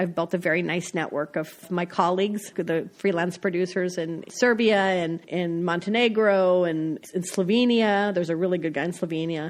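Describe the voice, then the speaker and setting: Using a plain, everyday voice, a woman speaks at a moderate pace and a medium pitch with ordinary pitch variation and hardly any pauses. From US Midwest, North Dakota. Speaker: foreign correspondent. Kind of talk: interview. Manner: conversational, casual.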